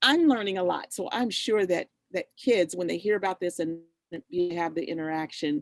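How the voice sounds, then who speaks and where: The speech comes at a moderate pace with ordinary pitch variation and a dry, close sound with no echo. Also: woman, fairly low pitch for a woman. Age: 60s. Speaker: youth program host and farm owner. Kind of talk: casual chat on video call. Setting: video call. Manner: animated.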